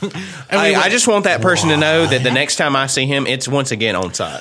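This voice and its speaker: Over noticeable background noise, a man with a Southern US accent speaks at a fairly high pitch with very wide pitch swings. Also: fairly quick pace. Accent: country, Southern US. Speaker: podcast co-host.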